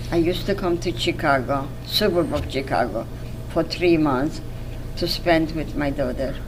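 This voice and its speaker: A woman speaks with a very deep, low pitch and ordinary pitch variation. Noticeable background noise and audible room echo fill the recording. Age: 90s. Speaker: Holocaust survivor. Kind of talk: testimony interview. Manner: halting.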